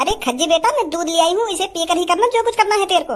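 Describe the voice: In a cartoonish character voice, a woman squeaks at an extremely high pitch, racing at a very fast pace with lively intonation.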